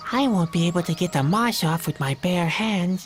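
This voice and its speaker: A female-sounding voice at a middle pitch does a put-on character voice against clear background noise. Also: moderate pace. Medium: machinima.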